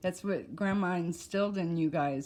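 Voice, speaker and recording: At a fairly slow pace, a woman speaks in a fairly low voice with ordinary pitch variation on a very clean recording with a silent background. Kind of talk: casual conversation.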